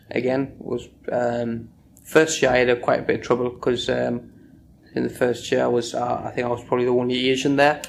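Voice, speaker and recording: A man with a northeast English accent talks fairly quickly in a monotone, flat way at a medium pitch. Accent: north-east English. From northern England, Sunderland. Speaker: oral history interviewee. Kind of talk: oral history interview.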